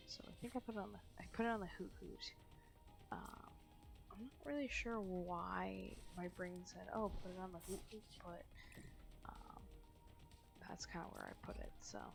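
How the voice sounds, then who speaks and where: A woman speaks quietly at a moderate pace, leaving long, frequent pauses. Music plays in the background, and the room echo is audible. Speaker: gaming commentator. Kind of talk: gameplay voice-over commentary. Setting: home recording at night. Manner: hesitant, many fillers.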